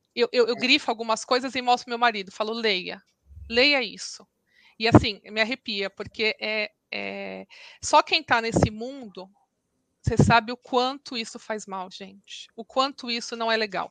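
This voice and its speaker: In a dry, close recording with no echo, a woman speaks at a fairly slow pace with a fairly high pitch, a normal speaking voice. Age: 40s. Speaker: lawyer and mother of a celiac child. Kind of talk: testimony interview.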